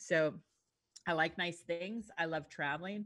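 Against a quiet background, a woman with a Canadian accent uses an ordinary speaking voice, fairly low in pitch with ordinary pitch variation, at a moderate pace. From Yukon, northern Canada. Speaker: real estate agent and podcaster. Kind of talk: casual interview chat. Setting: remote call.

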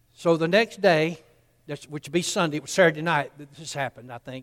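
A man with a Southern US accent talks at a very fast pace in a fairly high pitch. The sound is dry and close, with no echo. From US South, Columbus, Georgia. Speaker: pastor. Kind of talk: sermon.

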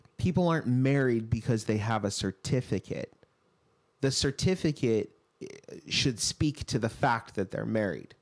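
In an unremarkable speaking voice, a man of medium pitch speaks at a moderate pace with lively intonation. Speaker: co-host and senior pastor. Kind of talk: casual teaching discussion.

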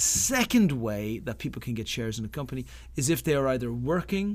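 In an Irish accent, the speaker moves at a moderate pace with lively intonation, captured in a very clean recording with a silent background. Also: man. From Ireland. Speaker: startup accelerator founder. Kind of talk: interview.

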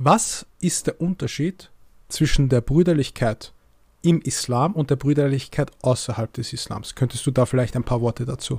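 Somewhat breathy, a man at medium pitch speaks with ordinary pitch variation in a dry, close sound with no echo. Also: moderate pace. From Egyptian family. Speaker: podcast host. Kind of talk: interview.

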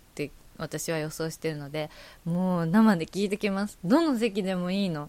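Intonation here is lively. The recording is very clean, with a silent background. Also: woman. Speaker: podcast host. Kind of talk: casual solo chat. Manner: fast.

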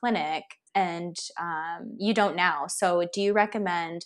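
A woman with a Californian accent speaks with ordinary pitch variation. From US West Coast (San Francisco). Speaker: podcast host, holistic nutritionist. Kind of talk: interview.

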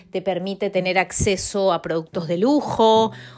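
Speaking at a fairly slow pace, a woman talks with an Argentine accent. The recording is very clean, with a silent background. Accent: Argentine, kept. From Argentina, Mendoza. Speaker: podcast host, Spanish teacher. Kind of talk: casual solo podcast. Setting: small studio flat by a window. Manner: spontaneous, with many repetitions.

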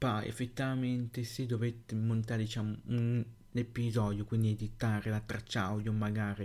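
A man's fairly low, monotone, flat delivery at a moderate pace. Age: young. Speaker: tech podcaster. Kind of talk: solo podcast monologue. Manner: halting.

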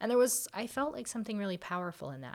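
Her words come at a very fast pace. The woman talks in an American accent. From Florida. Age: 30s. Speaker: occupational therapist. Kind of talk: interview conversation.

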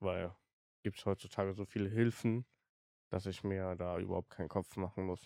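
A man speaks in a very deep, low pitch with monotone, flat intonation and long, frequent pauses. The recording is very clean, with a silent background. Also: dry, close sound with no echo. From Germany, Siegburg. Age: 20s. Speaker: podcast host. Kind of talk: personal storytelling monologue. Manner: halting, many fillers.

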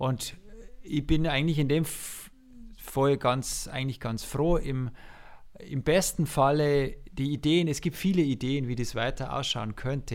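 Talking at a fairly slow pace, a man has a fairly high pitch and ordinary pitch variation. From Lower Bavaria, Passau district. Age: 40s. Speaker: music teacher and conductor. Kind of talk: casual interview.

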